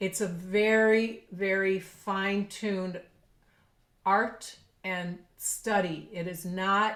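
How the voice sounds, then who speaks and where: The delivery moves at a very slow pace. Intonation stays monotone and flat throughout. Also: woman, medium pitch for a woman. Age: 60s. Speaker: professional clarinetist. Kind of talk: podcast interview.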